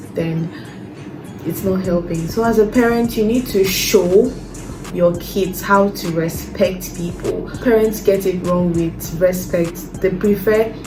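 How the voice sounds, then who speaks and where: Music plays in the background as a woman speaks at a very slow pace, with audible room echo. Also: medium pitch for a woman, fairly even intonation. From Nigeria. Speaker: lifestyle vlogger. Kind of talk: casual talk to camera.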